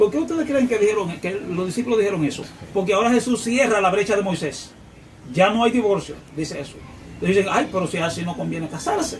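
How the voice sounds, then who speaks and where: The speech comes very fast with lively intonation. Noticeable background noise and audible room echo are present. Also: man, high pitch for a man. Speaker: preacher. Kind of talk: sermon.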